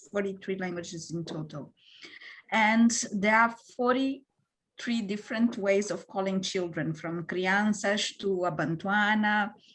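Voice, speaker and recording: The woman's voice sits at medium pitch and sounds somewhat breathy. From Mozambique. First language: Portuguese. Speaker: panelist. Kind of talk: panel discussion. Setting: online video panel. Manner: halting, many fillers.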